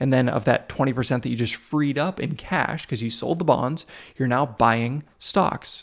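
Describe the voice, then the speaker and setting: A normal speaking voice from a man, medium in pitch, with ordinary pitch variation at a moderate pace. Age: 30s. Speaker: podcast host. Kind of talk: solo educational podcast monologue.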